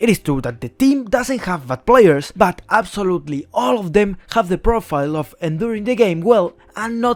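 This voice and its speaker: A man with a Spanish accent speaks high-pitched, with very wide pitch swings. He keeps a moderate pace with hardly any pauses. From Spain. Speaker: esports YouTuber. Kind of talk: scripted commentary.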